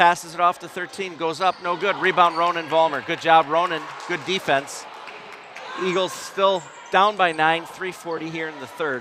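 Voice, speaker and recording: Over noticeable background noise, a man with a high pitch talks at a moderate pace. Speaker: basketball play-by-play commentator. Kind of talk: live commentary. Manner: loud, yelling at times. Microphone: audio crackling when yelling.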